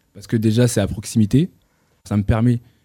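Speaking at a very fast pace, a man with a medium pitch and a dark, mellow tone keeps a monotone, flat intonation. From northern France, Roubaix and Tourcoing. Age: 20s. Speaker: clothing brand founder. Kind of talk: interview.

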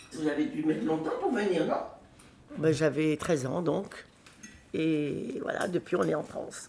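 The speech moves at a fairly slow pace with ordinary pitch variation and long, frequent pauses. Noticeable background noise and audible room echo fill the recording. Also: woman, very deep, low pitch for a woman. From Morocco (Oujda), French family. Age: 70s. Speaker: interviewee, elderly relative. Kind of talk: casual chat.

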